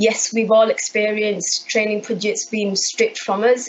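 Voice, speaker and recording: Over noticeable background noise, a woman speaks in a Yorkshire accent. Her pitch is medium and her pace moderate. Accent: Bradford. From Bradford, West Yorkshire, England. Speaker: council IT services manager. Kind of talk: conference talk. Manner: halting, many repeated words.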